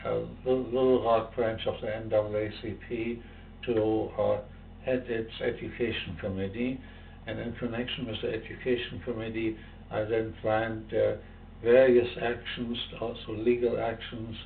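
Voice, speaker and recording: Audible room echo surrounds the voice. The delivery is at a moderate pace with monotone, flat intonation. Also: man, medium pitch for a man. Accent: German. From Germany. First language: German. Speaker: civil rights activist and professor. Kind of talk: interview testimony. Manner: halting, many fillers.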